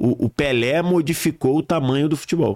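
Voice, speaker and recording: An unremarkable speaking voice at a moderate pace, with ordinary pitch variation, in a very clean recording with a silent background. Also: man. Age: 40s. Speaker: football commentator. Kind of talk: casual chat.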